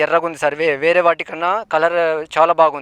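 Against a quiet background, a man speaks in a high pitch with a dry, close sound and no echo. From Telangana, Bhadradri Kothagudem district. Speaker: farmer. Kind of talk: testimonial interview.

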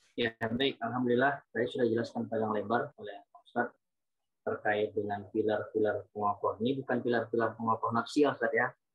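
The background stays quiet. A man's speech moves at a fairly quick pace. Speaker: moderator. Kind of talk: Q&A moderation. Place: home room. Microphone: video call.

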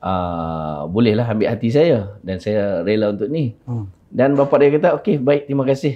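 A medium-pitched man with lively intonation, a moderate pace and hardly any pauses. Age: 40s. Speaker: liver donor. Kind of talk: interview testimony. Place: studio. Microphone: lapel.

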